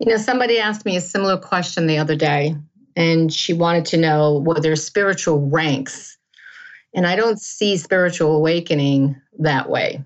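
A woman speaks with a normal speaking voice. Her pitch is fairly low. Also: ordinary pitch variation, moderate pace, very even loudness. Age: 60s. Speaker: author and wellness coach. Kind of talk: interview.

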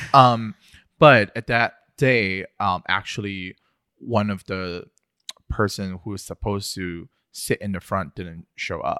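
A man talks at a very slow pace with long, frequent pauses and big swings in loudness, his tone bright and sharp and his pitch fairly low. The sound is dry and close with no echo, on a very clean recording with a silent background. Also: ordinary pitch variation. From southern China. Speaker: graphic designer. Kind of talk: casual interview. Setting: studio.

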